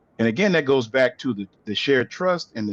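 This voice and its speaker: A man with a Louisiana accent at a fairly quick pace, dry and close with no echo, over a quiet background. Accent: Southern US, Louisiana. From US South, Louisiana, near New Orleans. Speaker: aphasia researcher. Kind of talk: webinar presentation. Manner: frequent fillers, says right? often.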